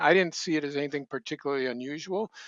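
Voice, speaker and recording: This man talks very fast. He has an American accent. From southern Minnesota, US Midwest. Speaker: former TV host and magazine editor. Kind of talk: casual interview.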